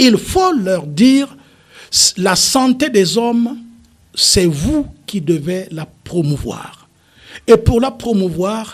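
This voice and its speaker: A man is speaking. His intonation is lively. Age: 70s. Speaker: politician, party founder. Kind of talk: radio talk show interview. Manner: animated.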